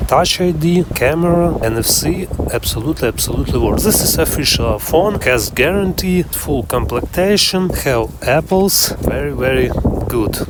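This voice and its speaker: Over noticeable background noise, a man with a non-native accent speaks at a moderate pace in a fairly high voice, with lively intonation and very even loudness. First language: not English. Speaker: phone collector vlogger. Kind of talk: show-and-tell video. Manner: halting.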